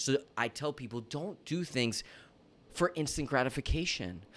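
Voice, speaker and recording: Animated in tone and touched with vocal fry, the voice moves at a fairly quick pace in a very clean recording with a silent background. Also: man. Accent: American. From Florida. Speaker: fitness coach and TV personality. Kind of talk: casual interview chat.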